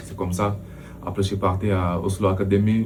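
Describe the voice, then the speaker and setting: Noticeable background noise and audible room echo surround a man's fairly low voice. He speaks at a moderate pace with monotone, flat intonation. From Senegal. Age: 30s. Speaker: professional football goalkeeper. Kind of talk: interview. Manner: hesitant, many fillers.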